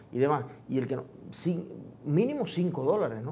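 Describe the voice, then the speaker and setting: Lively intonation from a man, fairly high in pitch, at a moderate pace. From Cuba. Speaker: interview show host. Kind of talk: interview. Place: studio.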